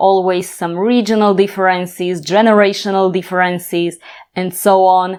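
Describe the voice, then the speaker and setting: A woman's medium-pitched, monotone voice with a Slovak accent, flat in intonation, at a fairly slow pace against a quiet background. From Slovakia, Bratislava. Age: 30s. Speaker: language teacher. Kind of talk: tutorial.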